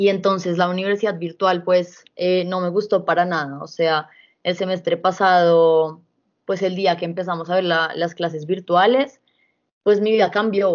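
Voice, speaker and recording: Her intonation is monotone and flat. The woman speaks at a moderate pace with a fairly low pitch. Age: 20s. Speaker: law student. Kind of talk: casual chat.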